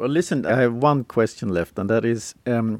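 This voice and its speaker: In a very clean recording with a silent background, a man speaks at a fairly low pitch. He has an unremarkable speaking voice and a moderate pace. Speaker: podcast host. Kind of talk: interview.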